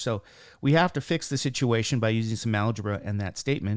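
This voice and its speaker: In a very clean recording with a silent background, a man uses a normal speaking voice, talking at a fairly quick pace in a medium pitch with ordinary pitch variation. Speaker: math teacher. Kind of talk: tutorial. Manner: casual, with fillers.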